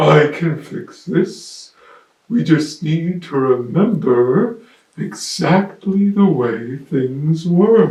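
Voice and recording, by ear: Using a put-on character voice, a man speaks very slowly at a fairly high pitch with lively intonation and a slightly mellow tone, amid audible room echo.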